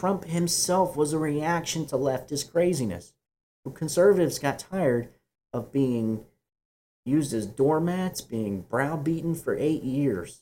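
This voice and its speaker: A man with a fairly high pitch and a dark, mellow tone. His intonation is lively, and he speaks at a fairly slow pace. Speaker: podcast host. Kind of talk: political commentary podcast, news reading and opinion.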